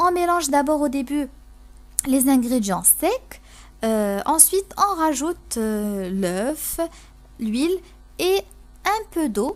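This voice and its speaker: Very slow and full of long, frequent pauses, the speech moves through very wide pitch swings. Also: woman, high pitch for a woman. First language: Moroccan Arabic (speaking French). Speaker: cooking youtuber. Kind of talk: cooking tutorial. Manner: halting, many fillers and repetitions.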